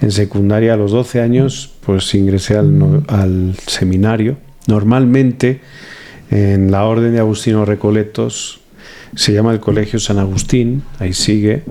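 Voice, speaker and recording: At a fairly slow pace, a man speaks in a fairly low voice with ordinary pitch variation and very even loudness. Noticeable background noise is present. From Spain, Valladolid. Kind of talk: interview.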